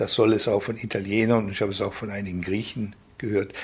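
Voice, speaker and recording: His voice comes out somewhat breathy. The speaker is male. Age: 60s. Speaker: left-wing publisher. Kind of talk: interview.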